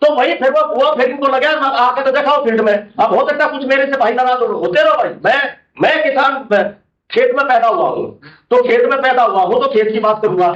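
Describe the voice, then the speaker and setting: A loud man's voice at an extremely high pitch, moderate in pace, with ordinary pitch variation. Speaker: farmer activist. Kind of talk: panel discussion. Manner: loud, forceful.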